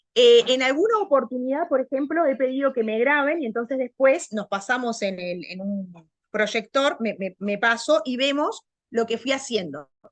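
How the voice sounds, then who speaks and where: With lively intonation, the woman's voice stays high in pitch. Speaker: language teacher. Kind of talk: lecture. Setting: video call. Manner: loud; fast.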